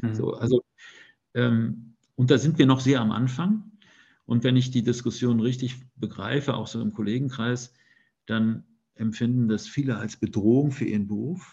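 Speaking at a moderate pace, a man has a medium-pitched, somewhat breathy voice with a dark, mellow tone and ordinary pitch variation. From Germany, Detmold (East Westphalia). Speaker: newspaper editor-in-chief. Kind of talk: interview.

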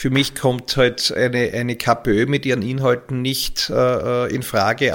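A man's medium-pitched voice at a fairly slow pace. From Austria, Graz (Styria). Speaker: local politician. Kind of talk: interview. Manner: halting, repeats words.

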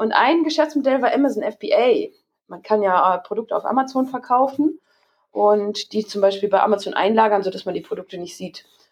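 A woman with an ordinary speaking voice, fairly high in pitch, lively in intonation, at a moderate pace, with big swings in loudness. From Hamburg, northern Germany. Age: 30s. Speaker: entrepreneur. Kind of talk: interview.

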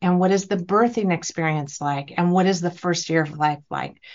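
A woman's unremarkable speaking voice, fairly low in pitch, with ordinary pitch variation at a moderate pace. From California. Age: 50s. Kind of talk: interview.

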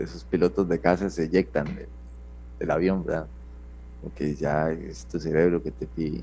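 Here a man talks at a moderate pace with a dark, mellow tone and vocal fry. His intonation is lively. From Costa Rica, San Ramón. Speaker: Red Cross rescuer and ambulance driver. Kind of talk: interview testimony. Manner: halting, repeats words.

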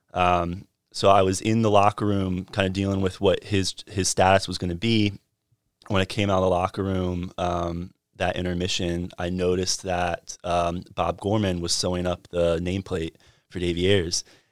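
A man with a very deep, low pitch and an American accent, monotone and flat, on a very clean recording with a silent background and a dry, close sound with no echo. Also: moderate pace. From North Carolina, Fuquay-Varina. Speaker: hockey team communications director. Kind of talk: casual interview. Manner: hesitant with many fillers.

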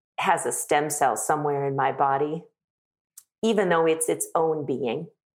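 Speaking at a fairly slow pace, a woman with an American accent has a very deep, low pitch. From US South. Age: 60s. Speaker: leadership consultant. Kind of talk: interview.

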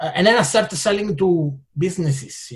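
A man speaks with an Italian accent and ordinary pitch variation. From Italian-speaking Switzerland. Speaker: entrepreneur. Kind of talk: interview.

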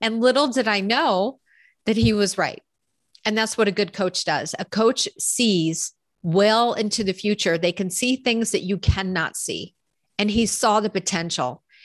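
Over a quiet background, a woman talks in a normal speaking voice at medium pitch. Her pace is fairly slow, with ordinary pitch variation. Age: 50s. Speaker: executive life coach. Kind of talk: casual interview chat.

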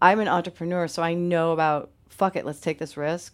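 A woman with an American accent speaks at a very deep, low pitch. Her pace is fairly quick. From upstate New York. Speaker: musician and community founder. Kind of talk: casual interview. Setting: camper trailer studio. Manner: animated.

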